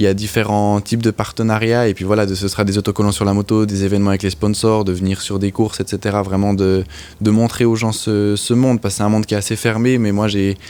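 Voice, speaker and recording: Speaking at a very fast pace with a slight Swiss French accent, a man uses a fairly low pitch, a dark, mellow tone and monotone, flat intonation. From French-speaking Switzerland, Lutry. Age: young. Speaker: motorcycle racer. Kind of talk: interview. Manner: halting.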